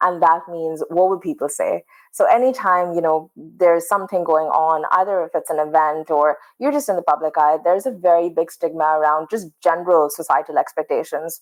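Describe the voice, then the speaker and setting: Against a quiet background, a woman with a Pakistani accent talks at a fairly quick pace with hardly any pauses, in a fairly low voice with ordinary pitch variation. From Pakistan, Karachi. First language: Urdu. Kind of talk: casual interview conversation.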